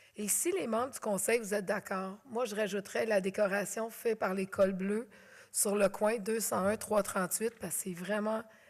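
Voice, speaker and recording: A loud woman speaks in a Quebec accent at a medium pitch. Her pace is moderate and her intonation fairly even. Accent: Québécois French. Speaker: mayor chairing council meeting. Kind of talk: council meeting chairing. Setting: council chamber with audience, filmed.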